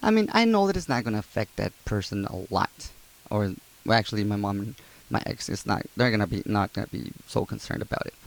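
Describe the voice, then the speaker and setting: A non-native accent with ordinary pitch variation at a fairly quick pace. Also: man. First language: not English. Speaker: YouTuber, abuse survivor. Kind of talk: casual vlog monologue. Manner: halting, many fillers.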